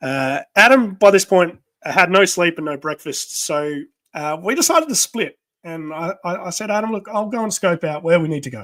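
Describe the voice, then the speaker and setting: In an Australian accent, a high-pitched man talks at a moderate pace with lively intonation and big swings in loudness, the sound dry and close with no echo. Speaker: podcast co-host. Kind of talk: casual chat. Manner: halting.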